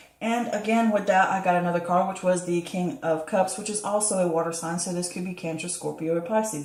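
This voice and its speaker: A woman's medium-pitched voice with ordinary pitch variation at a fairly quick pace, amid audible room echo and noticeable background noise. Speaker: tarot reader. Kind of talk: tarot reading to camera. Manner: fast; stumbling over words.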